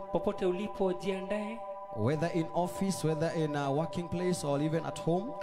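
With clear music in the background, a man talks at a moderate pace using ordinary pitch variation. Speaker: worship host welcoming viewers. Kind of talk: bilingual English-Swahili service welcome. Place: church. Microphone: handheld.

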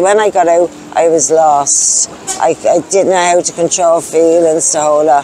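In a Dublin accent, a woman with a fairly low pitch speaks at very even loudness and with fairly even intonation, the sound dry with no echo and light background noise. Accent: Dublin Irish. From Ireland, Dublin (Clondalkin). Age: 40s. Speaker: person in recovery from addiction, homeless; interviewee. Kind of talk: testimony. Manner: halting. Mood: sad, grieving. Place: street. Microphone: lapel.

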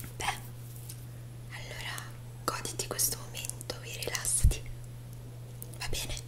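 A woman at a fairly slow pace with long, frequent pauses, amid loud background noise. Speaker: ASMR roleplay host. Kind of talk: ASMR roleplay, makeup and cosplay. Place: home room.

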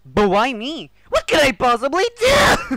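This cartoonish character voice sits at a high pitch and moves at a fairly slow pace.

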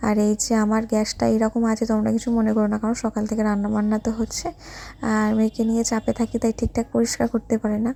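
The voice is dark, mellow and somewhat breathy, with monotone, flat intonation and very even loudness. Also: woman, fairly high pitch for a woman. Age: 20s. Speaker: family vlogger. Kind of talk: cooking tutorial and vlog. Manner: casual, chatty.

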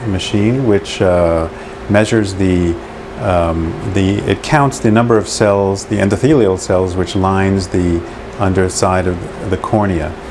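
Noticeable background noise sits under this recording. A man talks at a fairly slow pace in a fairly low pitch. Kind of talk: explanatory demonstration. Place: office. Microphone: lapel.

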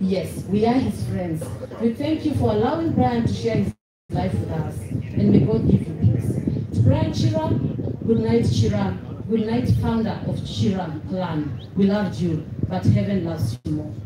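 A woman at a fairly slow pace, with audible room echo and loud background noise. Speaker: speaker. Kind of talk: funeral tribute speech. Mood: solemn. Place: open country.

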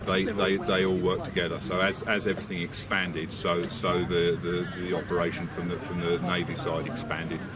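A man's fairly quick speech, dry and free of echo, competes with loud background noise. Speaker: military history reenactor. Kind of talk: explanatory talk to camera. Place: open country. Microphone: camera far.

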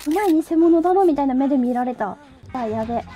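A woman's playful voice at a fairly quick pace, with ordinary pitch variation and music in the background. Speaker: VTuber streamer. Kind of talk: casual gameplay stream commentary. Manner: excitable, playful.

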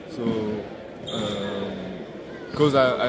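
A man speaks at a very slow pace with a French accent, his dry voice carrying no echo over loud background noise. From France. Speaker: basketball prospect. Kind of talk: interview. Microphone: phone near.

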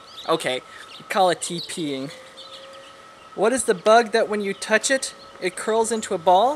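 With an American accent, a man speaks high-pitched and fairly slowly, with lively intonation, long, frequent pauses and light background noise. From California, USA. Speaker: dialect project participant. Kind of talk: dialect survey recording, word list and answers. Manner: casual, relaxed. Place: garden.

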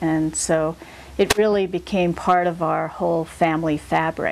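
A woman's fairly low voice, fairly slow, with an American accent. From Seattle, United States. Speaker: community activist. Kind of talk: oral history interview answer. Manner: hesitant, many filler words. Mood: calm, reflective. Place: home room.

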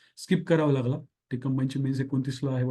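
This man has a dark, mellow tone. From Marathwada, Maharashtra (Dharashiv). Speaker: exam coaching teacher. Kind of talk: course announcement.

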